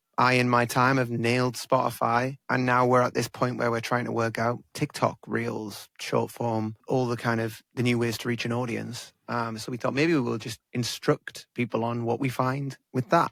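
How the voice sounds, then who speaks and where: In an English accent, a man at medium pitch speaks with monotone, flat intonation in a dry, close sound with no echo. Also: moderate pace, hardly any pauses. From England. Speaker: podcast host and musician. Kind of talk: casual chat.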